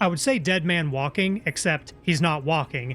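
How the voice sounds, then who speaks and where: Someone with an American accent talks at a moderate pace with music in the background. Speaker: vtuber streamer playing video games. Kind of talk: live gaming stream commentary. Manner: casual, chatty.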